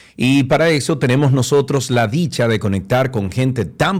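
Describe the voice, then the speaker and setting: The background is silent and the recording very clean. A man talks at a moderate tempo. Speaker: radio host. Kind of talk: interview; news reading. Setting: studio.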